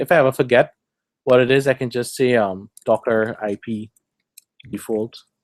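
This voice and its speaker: With ordinary pitch variation, a man uses a normal speaking voice at a medium pitch, the sound dry and close with no echo. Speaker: tech meetup presenter. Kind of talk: technical presentation with live demo.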